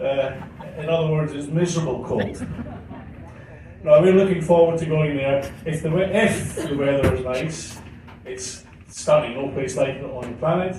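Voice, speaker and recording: In a room with audible echo and noticeable background noise, a man with a Scottish accent and fairly high pitch talks at a moderate pace with ordinary pitch variation, big swings in loudness and long, frequent pauses. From Scotland, Glasgow. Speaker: cruise ship hotel director. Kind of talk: after-dinner speech. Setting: stage with audience at ship party. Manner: hesitant, many fillers.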